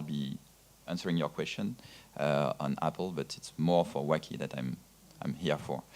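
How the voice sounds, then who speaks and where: This man speaks with a French accent and vocal fry at a moderate pace. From France. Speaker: VOD platform executive. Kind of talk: panel discussion.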